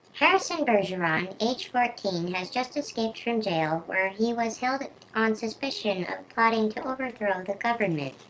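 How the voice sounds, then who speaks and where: Putting on a character voice, a woman performs. Her pitch is fairly high. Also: moderate pace. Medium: read story. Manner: uncompetitive.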